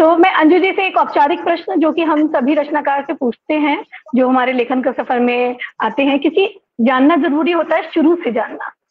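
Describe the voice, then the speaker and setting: The woman's pitch is high, with ordinary variation. She speaks at a moderate pace. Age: young. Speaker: program host. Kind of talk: interview. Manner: formal.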